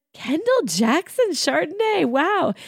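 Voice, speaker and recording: A female-sounding, put-on character voice at an extremely high pitch moves through very wide pitch swings at a fairly slow pace. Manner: impressed, delighted.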